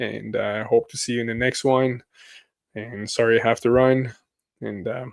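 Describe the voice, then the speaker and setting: At a moderate pace, a man with a medium-pitched voice talks in a flat monotone, with long and frequent pauses. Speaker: crypto YouTuber. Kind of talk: live stream chat. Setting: live stream with bright lights.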